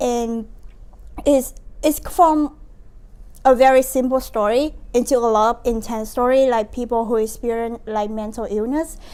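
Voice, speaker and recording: Her high pitch carries a dark, mellow tone as this woman speaks with a Vietnamese accent. She talks at a fairly slow pace with fairly even intonation. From Vietnam, Ho Chi Minh City. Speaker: university student, nonprofit founder. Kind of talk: interview. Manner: halting.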